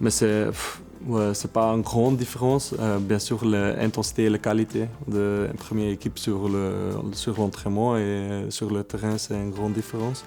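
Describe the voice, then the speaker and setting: A man with a Dutch accent speaks at a moderate pace in a fairly low pitch. His intonation is monotone and flat, with noticeable background noise. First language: Dutch (speaking French). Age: 20s. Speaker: professional footballer. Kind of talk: interview. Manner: halting, many hesitations.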